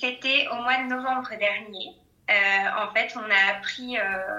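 Amid noticeable background noise and audible room echo, a woman speaks at a very slow pace. Her pitch variation is ordinary. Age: 30s. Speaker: bereaved mother sharing her story. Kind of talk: testimony.

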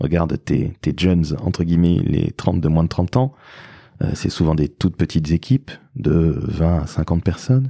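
A man with a very deep, low voice and a dark, mellow tone speaks at a fairly slow pace with lively intonation. His loudness stays very even, and the sound is dry and close with no echo. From Toulouse, southwestern France. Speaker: podcast host, agency founder. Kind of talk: interview. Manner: animated.

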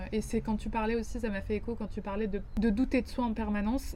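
Monotone, flat intonation from a woman at a fairly high pitch, with audible room echo. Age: 20s. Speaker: podcast host. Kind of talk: interview.

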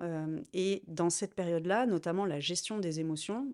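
With an unremarkable speaking voice, a woman talks at a medium pitch and moderate pace with ordinary pitch variation, on a very clean recording with a silent background. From France, Lyon. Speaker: interviewee sharing personal story. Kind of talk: personal testimony interview.

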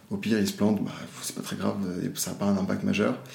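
The man's voice comes with audible room echo. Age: 20s. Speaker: future-of-work expert and entrepreneur. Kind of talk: casual interview.

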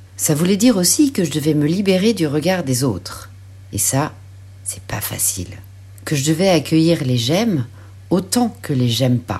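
A woman speaks at a fairly slow pace with a very deep, low pitch and very wide pitch swings. Long, frequent pauses break up her speech, and background noise is noticeable. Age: 40s. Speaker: life coach and mother. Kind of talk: scripted personal narration.

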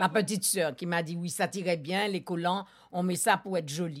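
A woman talks at a moderate pace, her voice fairly low in pitch with ordinary pitch variation.

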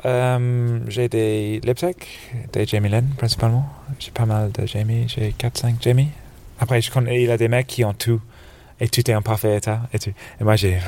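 At a fairly slow pace, a man with a medium pitch and a dark, mellow tone talks with fairly even intonation and long, frequent pauses. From England, Birmingham. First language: English (speaking French). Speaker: snowboard shop buyer. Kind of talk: casual interview. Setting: couch in a dark trade-fair hall.

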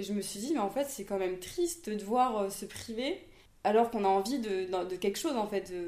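A woman speaks at a fairly high pitch. Her pace is moderate, with ordinary pitch variation. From Réunion (from age 8, born in Toulouse). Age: 20s. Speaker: entrepreneur, former nurse. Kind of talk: casual interview chat. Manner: hesitant, many fillers.

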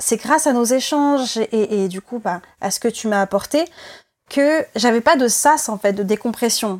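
This woman has a plain, everyday voice with a fairly high pitch. She speaks at a moderate pace with ordinary pitch variation. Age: 20s. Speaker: former client giving testimony. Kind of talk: testimony interview.

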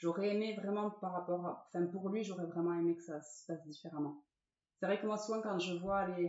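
This is a woman with an ordinary speaking voice at a medium pitch. She keeps a moderate pace and fairly even intonation. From French Basque Country (Saint-Jean-de-Luz, Ciboure, Sare). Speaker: rugby player's wife. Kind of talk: casual interview. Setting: at her home.

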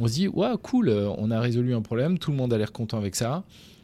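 In a very clean recording with a silent background, a man with a medium pitch and a dark, mellow tone talks at a fairly quick pace. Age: 40s. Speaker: company founder and CEO. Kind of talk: interview. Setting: office.

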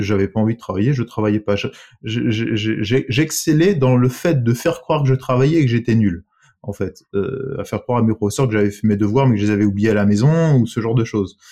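The tone is dark and mellow. The pace is fairly quick, with ordinary pitch variation. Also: man. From France, moved around, Bordeaux from 15. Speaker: dentist. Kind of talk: casual interview.

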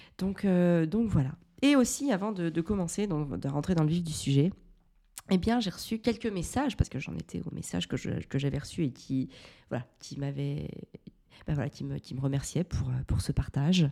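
A very deep, low-pitched woman's voice, dark and mellow in tone, with lively intonation at a moderate pace over a very clean recording and silent background. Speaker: parenting podcaster, mother. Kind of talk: solo podcast monologue.

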